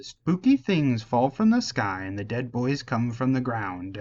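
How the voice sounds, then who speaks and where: A man puts on a character voice at medium pitch. He speaks at a moderate pace. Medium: read story. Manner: crude broken grammar.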